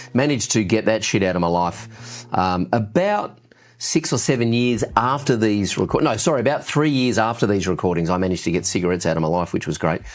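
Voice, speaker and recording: Speaking at a fairly quick pace with hardly any pauses, a man with an Australian accent uses a fairly low pitch, lively intonation and very even loudness. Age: 50s. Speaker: youtuber and musician. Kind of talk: casual vlog update. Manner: informal, unedited with fillers.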